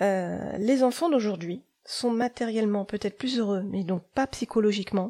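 In a dry, close sound with no echo, a woman speaks at a moderate pace with a dark, mellow tone. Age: 40s. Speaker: podcast host and life coach. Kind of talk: solo podcast monologue. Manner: hesitant, many fillers.

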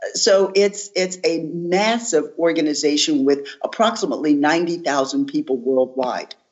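Speaking at a moderate pace with hardly any pauses, a woman with an American accent has an ordinary speaking voice, fairly low pitch, lively intonation and very even loudness. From US, West Philadelphia. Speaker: former government technology executive. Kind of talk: interview conversation.

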